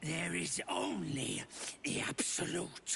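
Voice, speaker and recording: Using a put-on character voice, a man growls in a strained, very deep, low pitch with very wide pitch swings at a very slow pace over clear background noise. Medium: video game. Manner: halting, strained.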